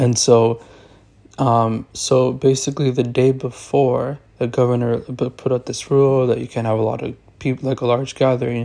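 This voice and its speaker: Speaking at a moderate pace, a man with a medium pitch and a dark, mellow tone keeps a monotone, flat intonation. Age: 20s. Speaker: blogger and podcaster. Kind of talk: recorded personal testimony. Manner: halting, repetitive filler.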